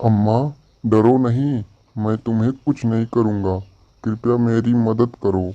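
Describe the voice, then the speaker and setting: Putting on a cartoonish character voice, a man speaks at a very slow pace and a medium pitch. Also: quiet background. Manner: gentle, respectful.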